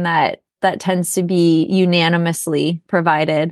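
At a moderate pace, a woman with an American accent uses a plain, everyday voice at a fairly low pitch. The sound is dry and close with no echo over a quiet background. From Minnesota. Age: 30s. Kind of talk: interview.

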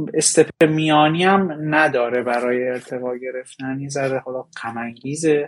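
The man's voice has medium pitch and ordinary pitch variation, with big swings in loudness. He leaves hardly any pauses. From Iran. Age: 20s. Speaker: data engineer. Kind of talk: interview. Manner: halting.

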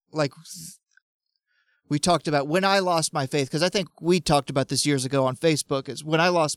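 A plain, everyday voice, a man with fairly high pitch talks at a fairly quick pace and fairly even intonation on a very clean recording with a silent background and a dry, close sound with no echo. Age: 30s. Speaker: podcast panelist. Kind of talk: casual chat.

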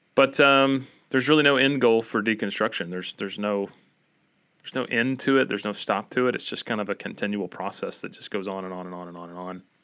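A man with an Appalachian accent speaks very fast at a fairly low pitch, his tone bright and sharp with ordinary pitch variation. The recording is very clean with a silent background. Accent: Appalachian American. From Appalachia, US. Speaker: podcast host. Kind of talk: casual podcast discussion.

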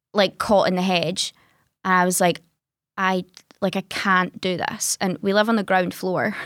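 A woman speaks with monotone, flat intonation. The recording is very clean, with a silent background. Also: medium pitch for a woman, moderate pace. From Scotland, Greenock (west coast). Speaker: artist and content creator. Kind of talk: interview about grief and depression.

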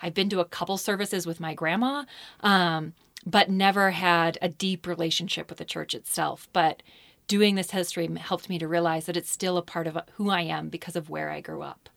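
A woman with a normal speaking voice, a fairly low pitch and an American accent talks at a fairly quick pace with fairly even intonation, in a very clean recording with a silent background. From southeastern Idaho, US. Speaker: history professor and author. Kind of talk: interview. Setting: studio.

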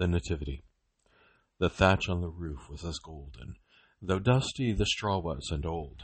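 A man with a very deep, low pitch sounds somewhat breathy. His intonation is lively, with big swings in loudness. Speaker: poetry reader. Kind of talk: poetry reading aloud, solemn and devotional. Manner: slow, measured, reverent, with rhythmic cadence and pauses at line ends.

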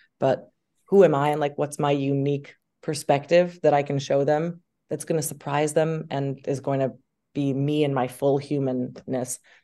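A woman with an American accent speaks at a moderate pace in a very deep, low pitch, her tone dark and mellow against a quiet background. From US Northeast. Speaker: actress. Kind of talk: casual chat. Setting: video call. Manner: animated.

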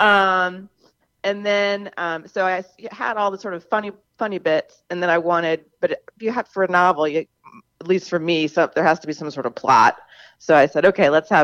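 A normal speaking voice: a woman with an American accent, fairly low in pitch, at a moderate pace, with a dry, close sound and no echo. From US South, Charleston, South Carolina. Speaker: novelist. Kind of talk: radio interview.

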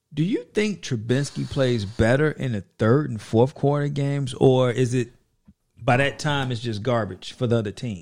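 A man with an American accent speaks at a moderate pace in a medium pitch with ordinary pitch variation. It is an unremarkable speaking voice. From Chicago. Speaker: sports fan guest. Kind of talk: casual chat.

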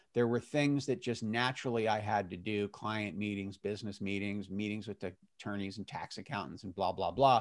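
A man talks in a normal speaking voice, fairly low in pitch, at a fairly quick pace with hardly any pauses. His pitch varies in an ordinary way, and the recording is very clean with a silent background. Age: 50s. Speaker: retiree and personal trainer. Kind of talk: interview.

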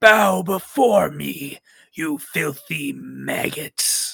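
A raspy, put-on character voice at a very slow pace. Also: man, fairly high pitch for a man. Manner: sinister, menacing.

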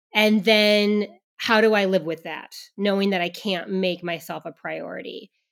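In a normal speaking voice, a woman talks at a moderate pace with medium pitch and fairly even intonation, her loudness swinging a lot. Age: 40s. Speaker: pre- and postnatal exercise specialist. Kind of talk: casual interview.

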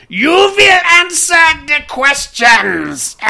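Shouting in a put-on character voice with a German accent, the speaker sounds high-pitched and shrill. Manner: screaming, interrogating.

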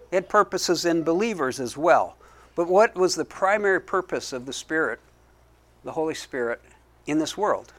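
A high-pitched man with an American accent speaks at a moderate pace with ordinary pitch variation. He leaves long, frequent pauses on a very clean recording with a silent background. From US Mountain West. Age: 50s. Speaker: pastor. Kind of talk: sermon.

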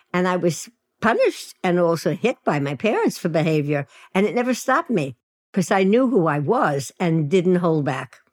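In a Brooklyn accent, a woman with a fairly low pitch and lively intonation talks at a moderate pace, the sound dry and close with no echo. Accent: New York (Brooklyn). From US Northeast, Williamsburg, Brooklyn, New York. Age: 80s+. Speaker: sex and dating coach. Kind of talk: casual chat.

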